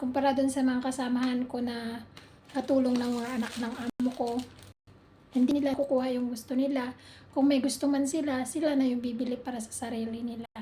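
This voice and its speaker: A woman speaks at a fairly quick pace in a high voice with monotone, flat intonation. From Philippines. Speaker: overseas domestic worker vlogger. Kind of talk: casual vlog.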